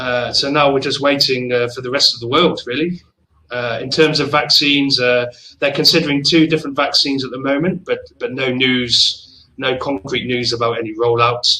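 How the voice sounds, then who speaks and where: With a southern English accent, a man speaks at a fairly high pitch and a moderate pace. His tone is bright and sharp, and his intonation is fairly even. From England, Oxford. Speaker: travel company manager. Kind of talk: casual chat. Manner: hesitant with many fillers.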